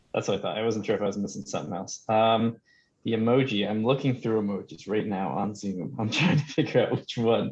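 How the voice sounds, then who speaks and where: Fairly low in pitch and marked by vocal fry, a man with an American accent talks at a fairly quick pace with lively intonation. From New Jersey. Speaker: student. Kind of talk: class introductions on video call. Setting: video call.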